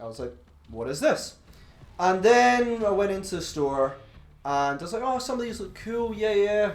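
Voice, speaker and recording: Speaking in a strong Glaswegian accent, a man with a high pitch moves at a moderate pace, with very wide pitch swings, big swings in loudness, long, frequent pauses, and audible room echo. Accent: thick Glaswegian Scottish. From Scotland, Glasgow. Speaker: podcast co-host. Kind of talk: casual chat.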